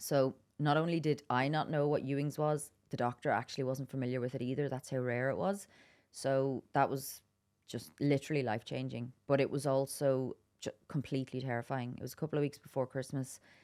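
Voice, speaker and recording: With a Donegal accent, a woman talks at a fairly quick pace, her pitch very deep and low and her intonation monotone and flat. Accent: Donegal Irish. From Ireland, Dublin then Wicklow and Donegal. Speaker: adventurer and campaigner. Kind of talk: podcast interview.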